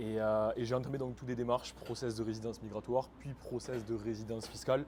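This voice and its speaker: A man's medium-pitched voice at a very fast pace, monotone and flat. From France. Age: 20s. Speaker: e-commerce entrepreneur. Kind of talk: interview.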